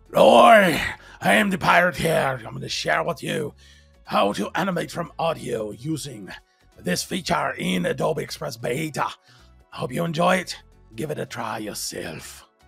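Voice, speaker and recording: Faint music plays in the background as someone performs a put-on character voice at a moderate pace. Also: man, fairly high pitch for a man. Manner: playful pirate voice.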